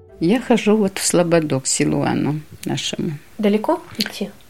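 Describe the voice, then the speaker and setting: A woman speaks with vocal fry. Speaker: parishioner.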